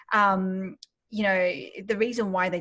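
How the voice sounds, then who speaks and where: At a moderate pace, a woman with an Australian accent speaks at medium pitch against a quiet background. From Australia, Sydney. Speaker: business founder and mentor. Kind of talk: interview. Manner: hesitant, many fillers.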